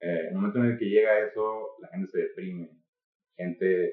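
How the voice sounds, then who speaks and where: A man talks at a moderate pace. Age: 20s. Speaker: marketing and media worker. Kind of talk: casual philosophical discussion. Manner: halting with repetitions.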